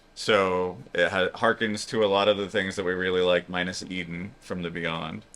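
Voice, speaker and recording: A man mumbling at a moderate pace in a very deep, low, monotone voice with flat intonation and hardly any pauses. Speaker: cruise vlogger. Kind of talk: casual chat.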